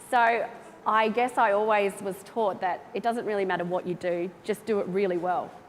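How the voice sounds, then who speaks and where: A woman talks at a moderate pace in an Australian accent. Her medium pitch holds fairly even. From small-town Australia. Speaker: air force officer, panelist. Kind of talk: panel discussion. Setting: stage with audience.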